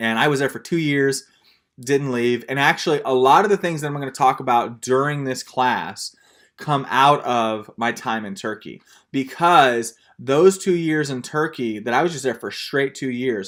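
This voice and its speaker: With a Texan accent, a man speaks at a fairly high pitch. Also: ordinary pitch variation, moderate pace. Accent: Texan American. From Texas. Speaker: missionary teacher. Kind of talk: lecture. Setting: video call. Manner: casual storytelling.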